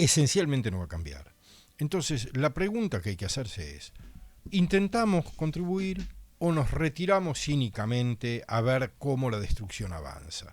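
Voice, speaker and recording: Somewhat breathy, a man with a medium-pitched voice speaks with very wide pitch swings and big swings in loudness. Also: moderate pace. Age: 60s. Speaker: political candidate. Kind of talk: radio interview.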